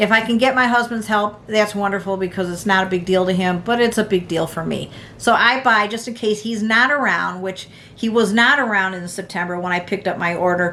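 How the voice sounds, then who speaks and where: Talking at a fairly quick pace, a woman with an American accent speaks at a medium pitch over noticeable background noise. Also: ordinary pitch variation. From United States. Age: 60s. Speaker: prepping vlogger. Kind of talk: casual tutorial. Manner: halting, many fillers.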